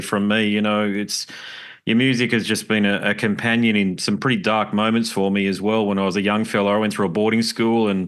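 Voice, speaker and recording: Against a quiet background, a man with an Australian accent speaks at a fairly quick pace in a fairly low pitch with monotone, flat intonation. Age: 40s. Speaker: podcast host. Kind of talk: interview.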